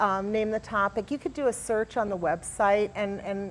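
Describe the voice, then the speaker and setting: This is an unremarkable speaking voice, with ordinary pitch variation and a moderate pace. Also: woman. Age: 60s. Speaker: magazine editor. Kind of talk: talk show interview. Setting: community center talk show set.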